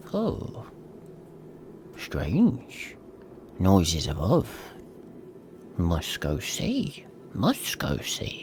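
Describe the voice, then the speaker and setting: A put-on character voice moves very slowly with long, frequent pauses against clear background noise. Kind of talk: halting, clipped phrases. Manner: furtive, muttering, creepy.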